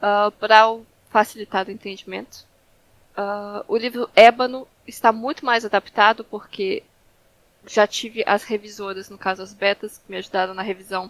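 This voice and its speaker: A woman speaks at a moderate pace with a Brazilian accent, her pitch medium and her intonation fairly even. Her loudness swings widely, and the sound is dry and close with no echo. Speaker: fantasy author. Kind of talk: interview. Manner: halting, many filler sounds.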